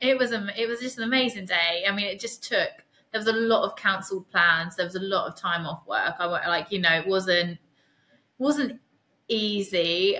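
The speaker is a woman with a medium pitch. She talks at a moderate pace with ordinary pitch variation. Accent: East Anglian. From Suffolk, England. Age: 30s. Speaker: person living with MS. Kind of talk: casual interview. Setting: remote call.

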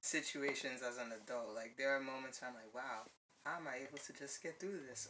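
The speaker talks at a fairly quick pace in a Brooklyn accent. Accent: New York (Brooklyn). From US Northeast, Brooklyn, New York. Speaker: podcast guest, artist. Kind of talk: casual chat. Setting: studio.

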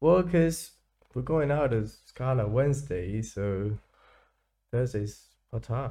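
On a very clean recording with a silent background, a man at medium pitch speaks very slowly in a dark, mellow, somewhat breathy tone, with lively intonation and long, frequent pauses. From Spain. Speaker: student podcast co-host. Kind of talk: casual chat.

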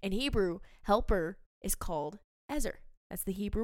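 With an animated tone, a woman at a medium pitch talks at a moderate pace with ordinary pitch variation. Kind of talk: faith podcast monologue. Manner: scripted.

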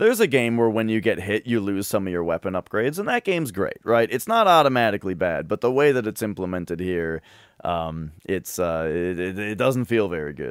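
A man speaks in a normal speaking voice at a fairly quick pace, with lively intonation and hardly any pauses. The recording is very clean and silent in the background, with a dry, close sound and no echo. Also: fairly low pitch for a man. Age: 30s. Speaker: video game podcast co-host. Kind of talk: casual chat.

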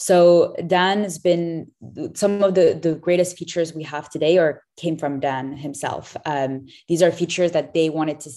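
With an American accent, a woman speaks at a moderate pace at a fairly low pitch with fairly even intonation. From Tel Aviv, London and New York. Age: 20s. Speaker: startup founder. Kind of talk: interview.

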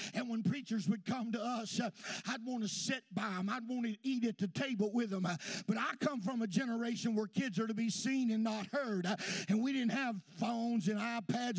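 With a Southern US accent, a man talks loudly at a high pitch over noticeable background noise. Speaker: pastor. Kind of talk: sermon. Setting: church. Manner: folksy, reminiscing storyteller punctuated by hallelujahs; exuberant, loud praise, hollers for Jesus.

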